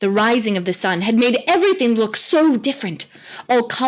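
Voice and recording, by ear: The intonation is lively as the speaker is reading aloud in a natural voice.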